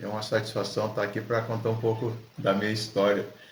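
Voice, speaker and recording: Audible room echo surrounds a man speaking at a fairly low pitch. His pace is fairly quick and his intonation monotone and flat. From southern Brazil, Rio Grande do Sul (Alegrete). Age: 60s. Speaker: ultramarathon runner, supermarket supervisor. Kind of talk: casual interview. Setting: at the host's home.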